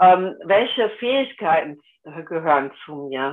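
Pitch swings very widely in this woman's voice. She talks very slowly. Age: 60s. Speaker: human design coach and web copywriter. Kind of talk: interview.

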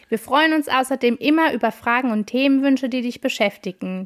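A woman speaks fairly quickly at a high pitch with ordinary pitch variation, in a very clean recording with a silent background and a dry, close sound with no echo. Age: 30s. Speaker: podcast host, family coach. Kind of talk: scripted intro.

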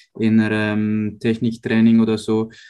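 A man talks at a medium pitch with music playing in the background. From Switzerland, Uster near Zurich. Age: 20s. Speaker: professional judo athlete. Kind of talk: interview. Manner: hesitant with fillers.

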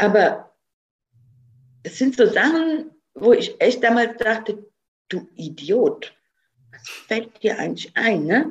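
Speaking at a very slow pace with long, frequent pauses, a woman uses lively intonation and big swings in loudness. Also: fairly high pitch for a woman. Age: 50s. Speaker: food company founder. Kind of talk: interview.

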